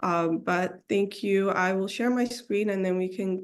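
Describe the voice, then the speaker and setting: Fairly slow speech over a quiet background. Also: woman. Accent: Somali. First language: Somali. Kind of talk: presentation on video call. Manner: hesitant, many fillers.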